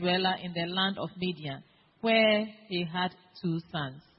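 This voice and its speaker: A woman speaks at a fairly slow pace with ordinary pitch variation. Hers is a normal speaking voice. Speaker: congregation member reading scripture. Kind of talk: reading aloud.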